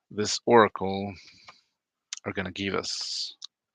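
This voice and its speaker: On a very clean recording with a silent background, a man with a fairly low pitch and a bright, sharp tone speaks in a monotone, flat intonation. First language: Spanish. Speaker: oracle card reader and spiritual healer. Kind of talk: casual vlog talk to camera. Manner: hesitant, many fillers.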